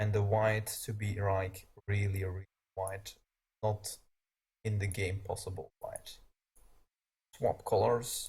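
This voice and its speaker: In a Flemish accent, a man speaks at a very slow pace, leaving long, frequent pauses. His fairly low voice is somewhat breathy, with monotone, flat intonation. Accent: Belgian Dutch. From Belgium. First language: Dutch. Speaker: gaming streamer. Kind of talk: live stream tutorial.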